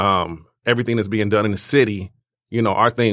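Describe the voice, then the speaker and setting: Here a man talks at a medium pitch in an ordinary speaking voice. His intonation is fairly even. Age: 40s. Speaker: music network co-founder. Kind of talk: casual chat.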